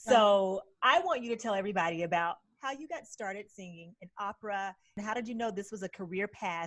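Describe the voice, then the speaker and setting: A woman's fairly quick speech in a plain, everyday voice, medium in pitch with ordinary pitch variation and big swings in loudness, in a dry, close sound with no echo. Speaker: podcast host and journalist. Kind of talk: podcast interview host.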